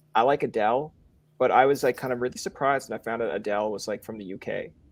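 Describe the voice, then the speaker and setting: A man talks at a very fast pace, with a medium pitch and a Newfoundland accent. His loudness swings widely. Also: ordinary pitch variation, very clean recording, silent background. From Newfoundland, Canada. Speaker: podcast host. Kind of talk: casual interview chat. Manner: animated, rambling fast.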